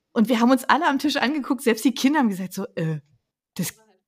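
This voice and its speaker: A woman's voice swings very widely in pitch. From Berlin. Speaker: podcast host. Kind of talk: casual chat.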